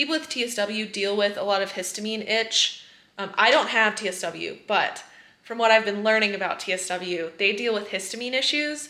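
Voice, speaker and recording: With an unremarkable speaking voice, a woman talks at a moderate pace in a fairly high pitch, with ordinary pitch variation. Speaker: eczema coach and vlogger. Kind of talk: casual vlog.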